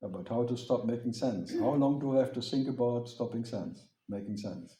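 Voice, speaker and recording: In a German accent, a man speaks at medium pitch and a moderate pace with ordinary pitch variation. His tone is dark and mellow, and somewhat breathy. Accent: German accent, still there. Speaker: spiritual teacher. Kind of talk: question-and-answer talk with audience.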